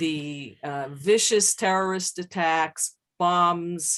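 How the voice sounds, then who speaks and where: Over a quiet background, the speaker talks very slowly with an American accent and fairly even intonation. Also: woman. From United States. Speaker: psychologist. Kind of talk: lecture.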